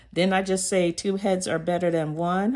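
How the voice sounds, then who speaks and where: A woman is speaking. Her voice comes through loud. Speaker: motivational vlogger. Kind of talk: motivational talk.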